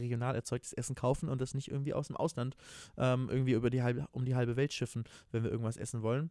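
Talking at a very fast pace, a man with a medium pitch and a dark, mellow tone keeps his intonation fairly even on a very clean recording with a silent background. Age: 20s. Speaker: podcast co-host. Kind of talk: casual chat.

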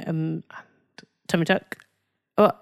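A woman with a fairly low pitch is heard in a dry, close sound with no echo. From Nigeria. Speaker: podcast co-host and parent. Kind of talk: casual chat. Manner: animated.

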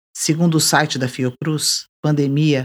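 A woman speaks with a very deep, low pitch at a fairly slow pace. The recording is very clean, with a silent background. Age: 50s. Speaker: podcast host. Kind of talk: scripted narration.

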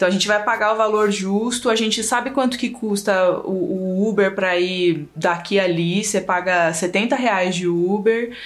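Noticeable background noise sits under speech at a moderate pace with hardly any pauses. Loudness stays very even, and pitch variation is ordinary. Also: woman, medium pitch for a woman. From São Paulo east zone, Brazil. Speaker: video editor. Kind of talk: casual chat. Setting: video call.

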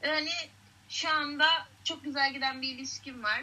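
Over noticeable background noise, a raised, projected voice carries at a moderate pace. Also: woman. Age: 20s. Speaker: out-of-work bartender and acting student. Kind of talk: casual chat.

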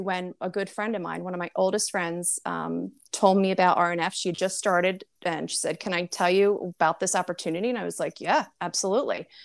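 A woman with an American accent talks at a fairly quick pace with hardly any pauses, her medium-pitched voice showing vocal fry and fairly even intonation. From US Northeast, New Jersey. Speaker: direct sales entrepreneur, former pharma professional. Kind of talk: casual interview.

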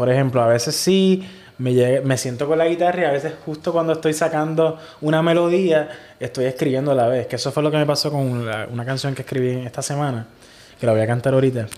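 With a fairly high pitch, the man rattles along at a very fast pace. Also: ordinary pitch variation. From Puerto Rico (Ciales). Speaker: singer-songwriter. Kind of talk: casual interview. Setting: hostel room.

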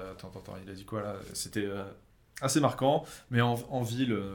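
A man's voice with big swings in loudness and long, frequent pauses, in audible room echo. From France. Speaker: YouTuber. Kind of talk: casual chat.

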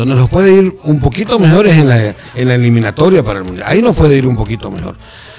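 At a very fast pace with hardly any pauses, a man at medium pitch makes very wide pitch swings over noticeable background noise. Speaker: football pundit. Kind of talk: casual radio chat. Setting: radio studio.

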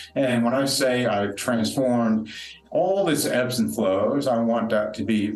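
The man's voice sits at a medium pitch, with noticeable background noise and audible echo from the room. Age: 50s. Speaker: recovery speaker. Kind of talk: interview testimony. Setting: retreat venue room.

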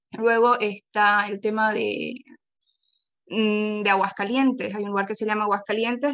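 A woman with an eastern Bolivian accent speaks at medium pitch and a fairly slow pace. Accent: eastern Bolivian (Camba) Spanish with voseo. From Bolivia, Santa Cruz de la Sierra. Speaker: Spanish teacher and linguist. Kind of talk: interview. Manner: halting, many fillers and repetitions.

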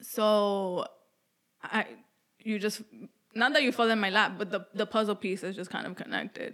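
A woman talks at a moderate pace in a medium-pitched voice. Her intonation stays fairly even. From New York City. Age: 20s. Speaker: podcast co-host. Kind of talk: casual chat.

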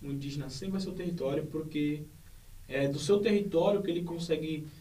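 A man talks at a fairly quick pace with ordinary pitch variation. There is audible room echo. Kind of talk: interview.

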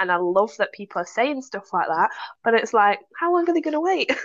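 Against a quiet background, a woman talks at a very fast pace with very wide pitch swings. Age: 30s. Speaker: novelist. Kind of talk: casual chat.

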